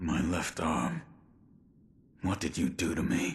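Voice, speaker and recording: Putting on a raspy character voice, a man talks very deep and low at a fairly slow pace. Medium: video game. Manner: terse, flat.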